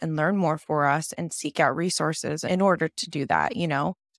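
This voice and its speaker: Recorded very cleanly against a silent background with a dry, close sound and no echo, a woman speaks in a fairly low voice at a moderate pace. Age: 30s. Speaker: vegan chef and wellness educator. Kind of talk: casual interview. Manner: animated.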